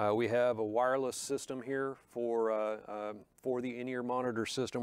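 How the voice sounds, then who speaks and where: At a moderate pace, a man speaks in a monotone, flat way. The sound is dry with no echo, and the background is quiet. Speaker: presenter. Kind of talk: tutorial. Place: studio.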